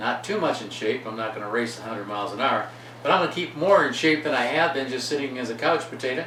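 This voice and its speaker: Audible room echo and noticeable background noise surround a man whose pitch swings very widely. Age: 60s. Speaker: channel host. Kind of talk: casual intro.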